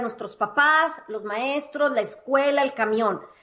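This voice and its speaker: A woman is speaking. Her pitch is high. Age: 50s. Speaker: psychologist and life coach. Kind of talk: interview.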